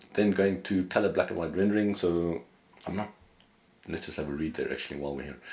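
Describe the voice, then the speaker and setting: Very fast pace with long, frequent pauses and ordinary pitch variation. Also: man, very deep, low pitch for a man. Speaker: photographer and editing educator. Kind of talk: software tutorial. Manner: casual, hesitant with fillers.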